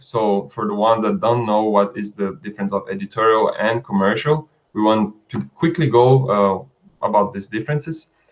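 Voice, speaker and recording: A man with a non-native accent talks at a fairly quick pace, his pitch swinging very widely. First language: not English. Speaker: stock footage creator and channel host. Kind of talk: live stream chat. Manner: halting, with frequent fillers and restarts.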